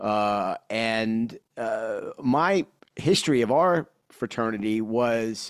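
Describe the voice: This man has a New York accent and a fairly low pitch, with a clear, smooth tone. He talks at a slow pace with ordinary pitch variation. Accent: New York, Brooklyn-Queens.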